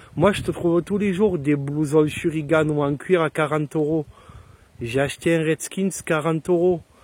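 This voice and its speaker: With fairly even intonation, a man with a fairly high pitch speaks at a moderate pace. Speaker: motorcycle vlogger. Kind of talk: casual product review. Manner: improvised, chatty.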